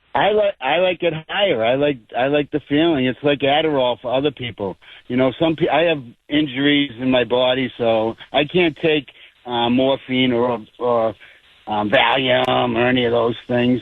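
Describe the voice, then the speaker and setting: Here is a man with an unremarkable speaking voice at medium pitch. He keeps a moderate pace, ordinary pitch variation and very even loudness. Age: 60s. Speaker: caller. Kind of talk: phone-in conversation. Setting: phone call.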